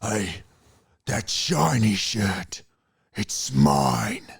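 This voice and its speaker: A put-on character voice from a man, raspy and menacing, very deep and low in pitch. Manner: menacing, rough.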